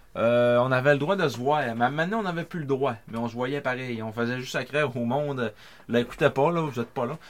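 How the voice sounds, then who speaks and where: A man's medium-pitched, ordinary speaking voice at a fairly quick pace, with ordinary pitch variation. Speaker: sports podcast co-host. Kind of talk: reading aloud; casual chat.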